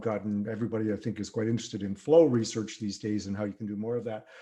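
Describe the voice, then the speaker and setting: A man speaks with a dark, mellow tone. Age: 60s. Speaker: singer-songwriter. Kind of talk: podcast interview. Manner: halting, many fillers.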